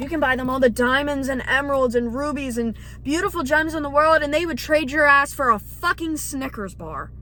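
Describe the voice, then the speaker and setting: The voice is loud and moves at a moderate pace with ordinary pitch variation. Noticeable background noise is present. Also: woman. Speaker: vlogger. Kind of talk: casual monologue vlog. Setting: night, dark room, self-recorded. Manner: animated.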